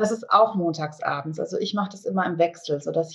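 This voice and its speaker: A woman with an ordinary speaking voice, medium pitch, fairly even intonation and moderate pace. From Bonn, Germany. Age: 40s. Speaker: eating disorder support group leader. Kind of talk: interview.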